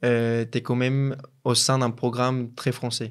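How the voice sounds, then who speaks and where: A man with a Colombian accent speaks at a medium pitch in a monotone, flat intonation. His pace is very slow. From Colombia, Pereira (center-west). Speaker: business school student. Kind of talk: interview. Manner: hesitant, many fillers and repetitions.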